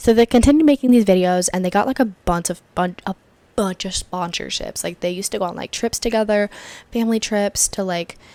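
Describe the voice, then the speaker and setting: Fairly quick female speech, dark and mellow, with ordinary pitch variation and a dry, close sound with no echo. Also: medium pitch for a woman. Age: 20s. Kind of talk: casual talk to camera. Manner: chatty, rambling.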